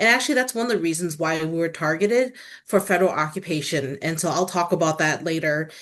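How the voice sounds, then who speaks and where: At a very fast pace, a woman with a Southeast Asian accent speaks in a fairly low voice over a quiet background. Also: ordinary pitch variation. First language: Hmong. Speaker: tourism industry executive. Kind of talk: panel discussion. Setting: video call.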